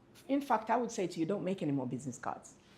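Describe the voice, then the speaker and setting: A woman talks in an animated tone with very wide pitch swings and vocal fry. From Jamaica. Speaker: business speaker. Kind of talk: workshop presentation.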